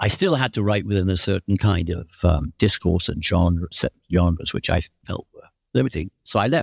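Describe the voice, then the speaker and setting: A man speaks in a very deep, low pitch with a British accent, somewhat breathy, at a moderate pace with ordinary pitch variation and big swings in loudness. The recording is very clean with a silent background, and the sound is dry and close with no echo. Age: 70s. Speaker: professor and author. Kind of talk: interview conversation. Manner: hesitant, fillers.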